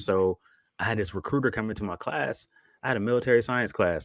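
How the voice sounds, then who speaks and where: Speaking with a slight country accent, a man talks at a very fast pace. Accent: slight country twang. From Buffalo, New York. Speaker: army and air force veteran, co-parenting coach. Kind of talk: podcast interview. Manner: soft-spoken.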